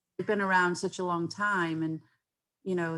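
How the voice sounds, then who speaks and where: Fairly even intonation on a very clean recording with a silent background. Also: woman. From England, Stoke-on-Trent. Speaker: sports club founder. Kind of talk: interview conversation. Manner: hesitant with fillers.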